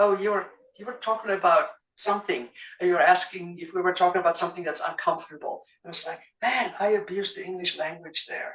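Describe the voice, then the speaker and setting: Her pitch varying in an ordinary way, a woman talks at a very fast pace. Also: medium pitch for a woman, big swings in loudness. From South Africa. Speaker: coach. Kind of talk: panel discussion.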